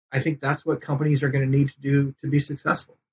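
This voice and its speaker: A man speaks with an American accent in a somewhat breathy voice. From US West, eastern California. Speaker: hunting media company founder. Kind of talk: interview. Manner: hesitant, many fillers.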